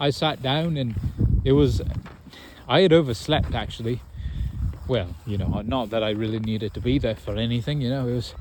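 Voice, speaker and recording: The speaker leaves long pauses, and often. Pitch moves in an ordinary way at a moderate pace. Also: man, medium pitch for a man. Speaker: podcast host. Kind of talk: casual chat. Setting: outdoors. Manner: loud.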